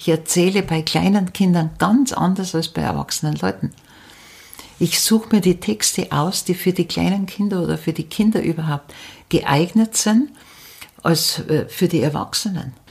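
Vocal fry runs through a woman's voice, which sits at a fairly low pitch. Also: ordinary pitch variation, moderate pace. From Upper Bavaria, near Munich. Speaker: storyteller and folklore expert. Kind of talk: interview. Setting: at the guest's home over tea.

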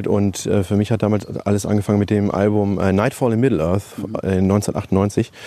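This is a man with a plain, everyday voice and a fairly low pitch. He speaks at a moderate pace. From Germany, Lower Rhine (Neukirchen-Vluyn). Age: 30s. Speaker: metal festival organiser and video editor. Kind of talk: interview. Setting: outdoors.

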